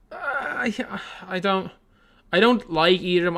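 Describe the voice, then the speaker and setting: A man with an Irish accent speaks in a bright, sharp tone with lively intonation. The recording is very clean, with a silent background. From Ireland, Dublin. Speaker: basketball YouTuber streaming a game watch-along. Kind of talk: live stream watch-along commentary and chat. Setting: live stream. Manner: casual, halting with many repeats.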